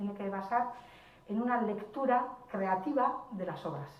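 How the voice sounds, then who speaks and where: A woman speaks fairly slowly at a medium pitch with ordinary pitch variation. Audible room echo and noticeable background noise surround her voice. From Basque Country. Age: 60s. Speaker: writer. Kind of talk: panel discussion.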